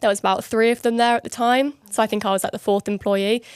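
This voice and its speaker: With a southern English accent and ordinary pitch variation, a woman speaks in a dry, close sound with no echo. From London. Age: 20s. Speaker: online fitness coach. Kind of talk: podcast interview.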